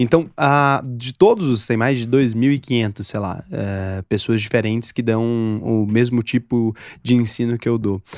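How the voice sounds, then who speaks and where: A man's plain, everyday voice at medium pitch, fairly slow with hardly any pauses and ordinary pitch variation, in a very clean, dry, close recording with no echo and a silent background. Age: 20s. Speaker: podcast host. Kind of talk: casual interview.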